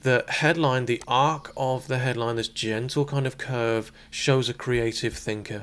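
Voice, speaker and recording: A soft-spoken man talks with a British accent. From Britain. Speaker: palm reader. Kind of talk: palmistry reading talk to camera.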